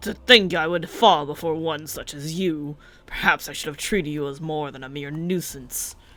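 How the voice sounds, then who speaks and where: This is a put-on character voice. It sits at a middle pitch and moves at a moderate pace. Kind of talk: formal, archaic. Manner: haughty, defiant, menacing.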